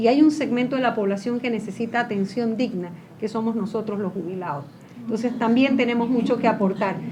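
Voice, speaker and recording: A woman speaks at a fairly quick pace and a fairly high pitch, with ordinary pitch variation. The recording has audible room echo and noticeable background noise. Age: 60s. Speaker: former legislator. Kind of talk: panel discussion.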